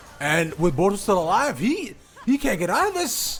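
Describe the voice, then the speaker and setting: A man's pitch swings very widely while noticeable background noise carries on behind him. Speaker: esports caster. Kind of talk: live commentary. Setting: live stream broadcast.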